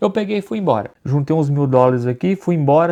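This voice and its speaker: In a Minas Gerais accent, a man speaks with a dark, mellow tone and ordinary pitch variation. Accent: Brazilian Portuguese, Minas Gerais (mineiro). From Brazil, Belo Horizonte, Minas Gerais. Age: 40s. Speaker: immigrant vlogger. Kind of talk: personal storytelling to camera. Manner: casual, conversational.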